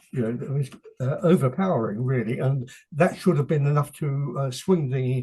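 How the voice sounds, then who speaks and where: A man with an English accent, a dark, mellow tone and a somewhat breathy voice. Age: 80s+. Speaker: author. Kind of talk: interview. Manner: halting.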